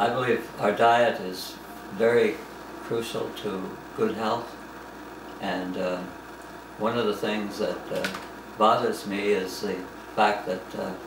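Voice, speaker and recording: Long, frequent pauses break up a man's very slow speech. His pitch is fairly low, his intonation fairly even, and noticeable background noise is present. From rural New Brunswick, Canada. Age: 80s+. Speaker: beekeeper. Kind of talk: interview answer.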